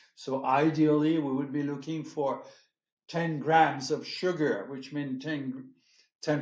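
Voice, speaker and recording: With a French accent, a man of fairly high pitch speaks at a fairly slow pace and with fairly even intonation. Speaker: champagne house executive. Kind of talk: interview conversation. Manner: hesitant, many fillers.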